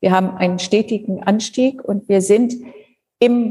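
A woman's somewhat breathy voice, dark and mellow, medium in pitch, at a very slow pace with ordinary pitch variation. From northern Germany (Schleswig-Holstein). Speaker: university president. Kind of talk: interview.

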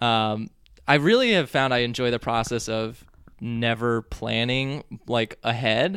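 An unremarkable speaking voice at a fairly slow pace, ordinary pitch variation, on a very clean recording with a silent background. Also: man, medium pitch for a man. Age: 20s. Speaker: comedian. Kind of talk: casual interview chat.

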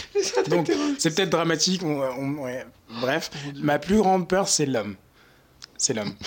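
Over noticeable background noise, a man with a fairly high pitch talks fairly slowly and with lively intonation, leaving long, frequent pauses. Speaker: marketing intern, student. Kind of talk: casual chat. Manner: halting.

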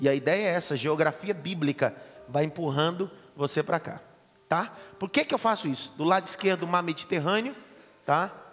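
A man with a high pitch and ordinary pitch variation speaks at a moderate pace, with long, frequent pauses. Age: 30s. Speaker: pastor and Bible teacher. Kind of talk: lecture. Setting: classroom with students.

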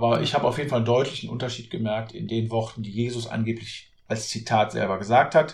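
A man with a plain, everyday voice speaks at a medium pitch and a fairly quick pace, his intonation fairly even. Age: 40s. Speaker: author and real estate agent. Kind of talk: podcast interview.

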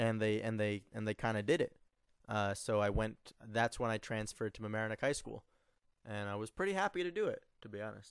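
A man speaks fairly quickly with ordinary pitch variation, the very clean recording dry and close with no echo and a silent background. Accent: American. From New York suburbs. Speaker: writer and artist. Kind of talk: casual interview. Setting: motel room. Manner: halting, many fillers.

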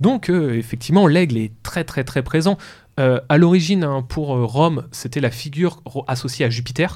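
A man speaks with a fairly high pitch at a moderate pace. His pitch varies in an ordinary way. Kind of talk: educational talk. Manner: hesitant.

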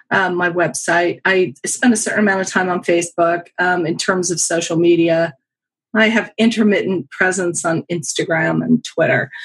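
Speaking at a moderate pace, a woman with an ordinary speaking voice has a fairly low pitch and ordinary pitch variation. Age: 50s. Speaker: professional astrologer. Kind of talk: casual chat.

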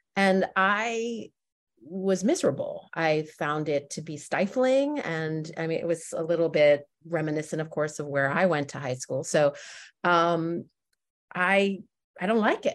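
A woman with an American accent and an ordinary speaking voice talks at a fairly slow pace. Her fairly low pitch moves with lively intonation against a quiet background. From New Jersey, suburban Westfield. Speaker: theatre company co-founder. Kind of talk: interview conversation.

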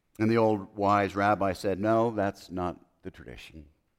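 Speaking at a moderate pace, a man has a fairly low pitch and a plain, everyday voice. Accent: American. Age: 50s. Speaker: preacher. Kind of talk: sermon.

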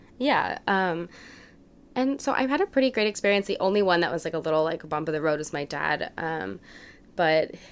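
Speaking at a moderate pace with an American accent, a woman has an unremarkable speaking voice pitched fairly low. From US South, New Orleans. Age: 20s. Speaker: digital media employee. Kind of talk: casual chat.

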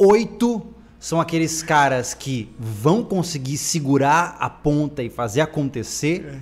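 Somewhat breathy and fairly high-pitched, a man speaks at a very slow pace with lively intonation. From Brazil. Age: 20s. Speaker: podcast host. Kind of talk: casual chat. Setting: live stream.

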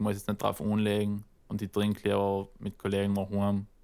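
Speaking at a fairly quick pace, a man holds a fairly low pitch in a flat, monotone delivery. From South Tyrol. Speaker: rapper. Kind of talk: casual chat.

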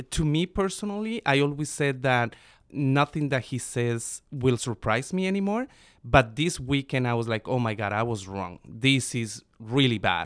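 A man with a Spanish accent speaks at a moderate pace in a medium pitch, his intonation lively, on a very clean recording with a silent background. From Colombia, Bogota. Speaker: immigration advocacy communications specialist, guest co-host. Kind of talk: casual political discussion.

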